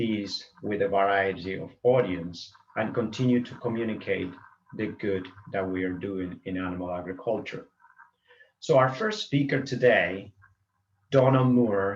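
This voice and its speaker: There is audible room echo as a man at medium pitch speaks fairly slowly with ordinary pitch variation. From Argentina, small agricultural town in the Pampas. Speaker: veterinarian, conference moderator. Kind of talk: conference opening remarks. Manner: halting, some false starts.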